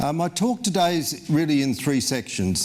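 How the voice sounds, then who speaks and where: A man speaks with lively intonation against noticeable background noise. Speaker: cardiologist. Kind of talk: lecture. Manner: fairly halting, frequent fillers.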